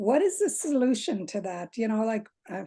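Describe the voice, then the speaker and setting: Somewhat breathy, a woman speaks at fairly high pitch against a quiet background. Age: 60s. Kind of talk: audience Q&A. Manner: halting.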